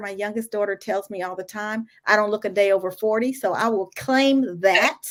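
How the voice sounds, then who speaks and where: A woman with an ordinary speaking voice talks at a moderate pace in a fairly high pitch, with ordinary pitch variation. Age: 60s. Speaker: entrepreneur and HR consultant. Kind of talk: podcast interview.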